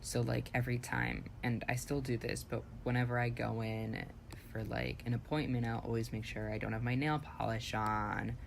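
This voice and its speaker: A man's moderately paced speech comes with audible room echo. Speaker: podcast co-host. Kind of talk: casual chat.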